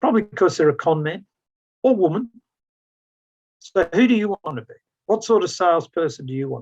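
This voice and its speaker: A man with an Australian accent, high in pitch, with very wide pitch swings, big swings in loudness, long, frequent pauses, and a dry, close sound with no echo. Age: 60s. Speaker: business consultant and sales trainer. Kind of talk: mentoring talk. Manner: animated.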